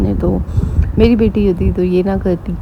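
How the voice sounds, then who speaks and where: A woman speaks quietly. Noticeable background noise can be heard. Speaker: vlogger giving family advice. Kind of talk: casual advice vlog. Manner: slow.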